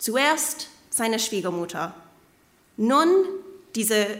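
Speaking with an English accent at a very slow pace, a woman is heard with audible room echo. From Canada, Kitchener-Waterloo, Ontario. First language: English (speaking German). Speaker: preacher, doctoral student. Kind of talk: sermon. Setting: church service.

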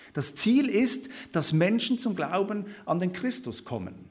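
A man speaks with a high pitch. Room echo is audible around him. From Switzerland. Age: 30s. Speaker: theology lecturer and guest preacher. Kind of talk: sermon-style Bible study lecture.

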